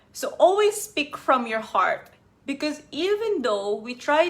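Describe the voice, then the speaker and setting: A woman with a non-native accent speaks at a moderate pace, her pitch swinging very widely, over noticeable background noise. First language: not English. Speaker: life coach. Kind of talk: live stream talk.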